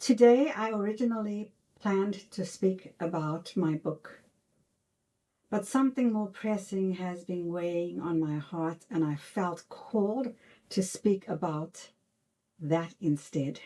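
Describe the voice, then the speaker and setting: In an American accent, the speaker talks at a very slow pace with a dark, mellow tone and ordinary pitch variation. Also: woman, medium pitch for a woman. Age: old. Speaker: author. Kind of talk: reflective talk to camera. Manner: earnest, heartfelt.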